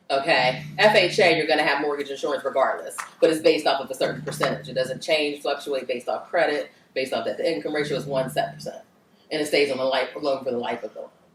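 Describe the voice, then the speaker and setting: Amid noticeable background noise, a woman with a very deep, low pitch talks at a very fast pace with ordinary pitch variation. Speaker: mortgage lender. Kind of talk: workshop Q&A.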